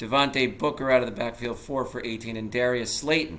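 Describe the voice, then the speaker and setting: Room echo is audible as a man speaks at medium pitch with fairly even intonation. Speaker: sports vlogger. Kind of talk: solo sports recap. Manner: casual, conversational.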